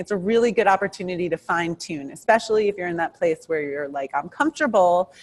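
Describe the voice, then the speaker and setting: With a New York accent, a woman speaks at a fairly quick pace with ordinary pitch variation, in a dry, close sound with no echo. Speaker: criminal defense attorney. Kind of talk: interview. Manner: fast.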